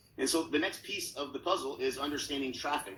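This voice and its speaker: The speaker has an American accent and a fairly quick pace. Audible room echo is present. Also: man. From Oklahoma. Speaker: real estate coach. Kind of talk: conference talk. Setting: virtual conference. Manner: fast.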